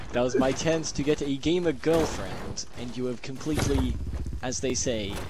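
A man with lively intonation at a moderate pace, dry sound with no echo, noticeable background noise. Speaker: streamer, gamer. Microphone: headset.

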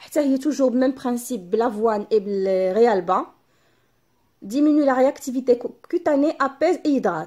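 Against a quiet background, a woman talks at a fairly quick pace in a high voice with a dark, mellow tone and lively intonation. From Morocco. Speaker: beauty YouTuber. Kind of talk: product unboxing vlog. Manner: switches between Darija and French. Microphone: phone near.

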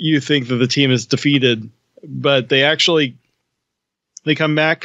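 A man's fairly even intonation in a dry sound with no echo, over a quiet background. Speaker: podcast host. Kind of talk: casual discussion of a cartoon season. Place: home room. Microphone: studio mic.

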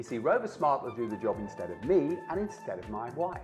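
A man with an upbeat, enthusiastic tone at a fairly quick pace, music playing in the background. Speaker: presenter. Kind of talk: TV infomercial presentation.

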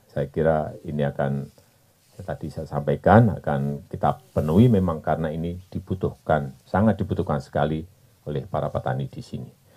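Against a quiet background, a man with a very deep, low pitch and a dark, mellow tone speaks at a fairly quick pace, showing vocal fry and ordinary pitch variation. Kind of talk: press statement. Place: open country. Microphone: podium.

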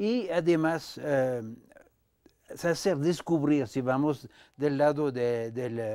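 A man speaks very slowly in a French accent, his fairly high voice dark and mellow in tone with ordinary pitch variation. The background is quiet. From France. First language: French (speaking Spanish). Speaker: dancer and choreographer, dance company director; guest. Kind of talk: interview conversation. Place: studio.

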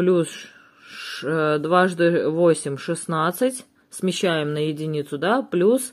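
A woman at a very slow pace against a quiet background. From Russia. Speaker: family vlogger. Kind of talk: casual vlog monologue; tutorial. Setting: at home. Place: home room.

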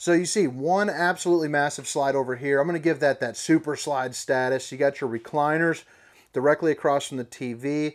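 A man speaks at a fairly quick pace with fairly even intonation against a quiet background. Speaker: RV salesperson. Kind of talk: walkthrough tour commentary. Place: shop. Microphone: phone near.

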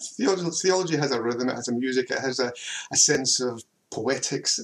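This is a man speaking at a moderate pace. His pitch varies in an ordinary way. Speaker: theology professor. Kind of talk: lecture. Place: home room.

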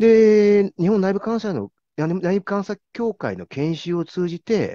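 Here a man speaks at a very slow pace in a high voice with a dark, mellow tone. The sound is dry with no echo and the background is quiet. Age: 50s. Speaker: corporate internal auditor; interviewee. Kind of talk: interview. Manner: formal. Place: home room. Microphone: video call.

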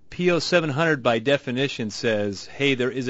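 Against a quiet background with a dry sound and no echo, a man uses an ordinary speaking voice at medium pitch with ordinary pitch variation. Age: 30s. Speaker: radio host. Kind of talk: call-in radio show. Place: studio.

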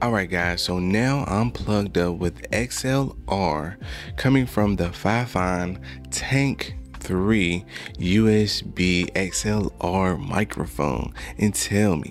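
Faint music plays in the background as a man speaks at a very slow pace in a very deep, low pitch. The sound is dry, with no echo. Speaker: tech reviewer. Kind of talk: product review tutorial. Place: studio. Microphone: studio mic.

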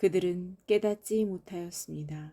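A woman speaks very slowly in a dark, mellow tone. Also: dry, close sound with no echo. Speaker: Bible reader. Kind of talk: reading aloud. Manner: formal.

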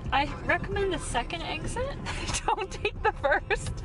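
A woman talks while music is clearly audible behind her. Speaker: driver vlogger. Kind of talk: casual vlog chat. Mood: amused, ranting playfully. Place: car.

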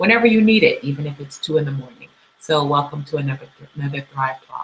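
Over light background noise, the speaker talks at a fairly quick pace with ordinary pitch variation. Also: woman. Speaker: show host. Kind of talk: host introduction. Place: studio. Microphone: webcam.

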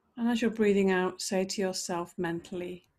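The speaker is a woman. Her intonation stays fairly even. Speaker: yoga teacher. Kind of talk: guided meditation. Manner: gentle, soft-spoken instructive cues. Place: home room.

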